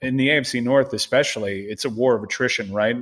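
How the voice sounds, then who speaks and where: A man with an American accent speaks at a medium pitch with ordinary pitch variation and an ordinary speaking voice. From Miami, Florida. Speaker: sports show producer and football fan guest. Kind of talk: casual sports podcast chat.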